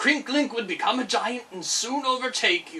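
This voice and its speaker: In a put-on character voice, a man growls at an extremely high pitch, keeping a moderate pace. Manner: growling, threatening.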